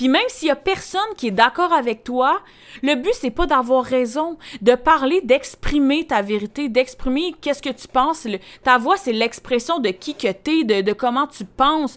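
With a Quebec accent, a woman speaks at a fairly slow pace with a high pitch and lively intonation in a very clean recording with a silent background. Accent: Québécois French. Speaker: podcast host, personal development coach. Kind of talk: solo podcast monologue. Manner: casual, filler-heavy.

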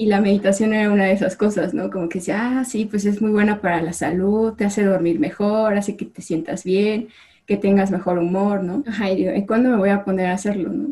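A woman speaks quickly with hardly any pauses, her voice somewhat breathy and medium in pitch. Her tone is dark and mellow, with ordinary pitch variation. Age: 20s. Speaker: chemical engineer. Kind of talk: casual chat.

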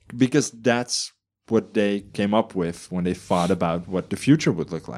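In a Dutch accent, a man with a fairly low pitch speaks at a moderate pace with lively intonation. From Netherlands. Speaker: podcast co-host. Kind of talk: casual chat.

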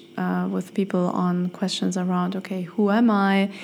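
Someone speaks at a fairly slow pace with a German accent. Noticeable background noise is present. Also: woman. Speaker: podcast host and life coach. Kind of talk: solo podcast monologue. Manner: hesitant, many fillers.

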